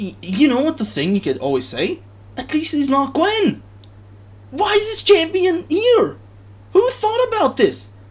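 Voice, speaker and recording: The voice is loud and shouting. It moves at a fairly slow pace. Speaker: gaming YouTuber. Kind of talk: gaming rant. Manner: animated; loud, yelling.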